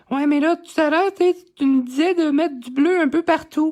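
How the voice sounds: A squeaky, high-pitched put-on character voice delivered at a moderate pace.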